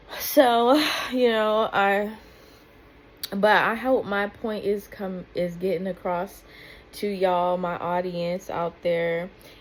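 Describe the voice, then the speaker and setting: A soft-spoken woman talks at a very slow pace. Her speech has long, frequent pauses. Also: medium pitch for a woman, ordinary pitch variation. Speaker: YouTube commentator. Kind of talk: reaction video commentary. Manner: halting.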